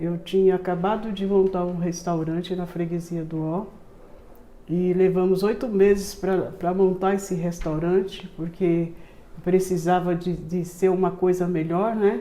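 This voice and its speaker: Fairly slow, monotone female speech at a medium pitch, flat in intonation, with audible room echo. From Brazil, São Paulo. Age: 70s. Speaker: community charity founder. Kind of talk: interview testimony.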